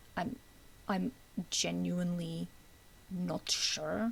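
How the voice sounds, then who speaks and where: A woman whispers quietly. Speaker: gaming lore commentator. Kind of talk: unscripted casual rant about video game lore. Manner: semi-whispered, quiet.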